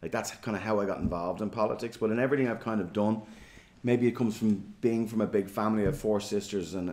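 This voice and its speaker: Talking very fast, a man with a Dublin accent keeps a fairly low pitch. His intonation stays fairly even. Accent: Dublin Irish. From Ireland, Dublin (Fingal). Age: 40s. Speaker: politician. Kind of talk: interview. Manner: hesitant, filler-heavy.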